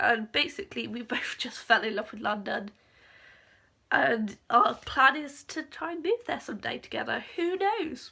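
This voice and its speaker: Speaking at a moderate pace, a woman talks in an English accent. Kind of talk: casual talk to camera.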